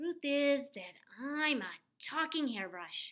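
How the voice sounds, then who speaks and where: A woman speaks in a put-on character voice pitched high. Her pace is fairly slow. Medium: read story. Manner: playful.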